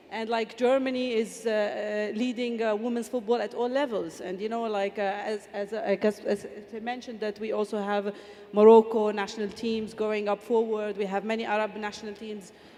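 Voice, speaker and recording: A woman at a fairly quick pace, fairly high in pitch with monotone, flat intonation, over noticeable background noise. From Palestine, Bethlehem. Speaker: football official, former player. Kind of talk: panel discussion. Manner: halting, many fillers.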